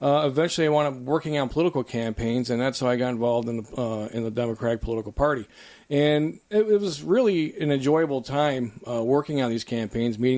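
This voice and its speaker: In a Buffalo accent with a dark, mellow tone, the voice races at a very fast pace with hardly any pauses and ordinary pitch variation. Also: man. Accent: Buffalo-area American English. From western New York (Lackawanna). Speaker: political candidate, former mayor. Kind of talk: interview. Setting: studio.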